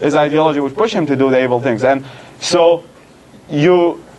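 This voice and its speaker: Amid noticeable background noise, a man with a fairly high voice speaks very fast with ordinary pitch variation. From Iraq. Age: 20s. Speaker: secular activist and writer. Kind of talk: Q&A talk. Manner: halting, many restarts.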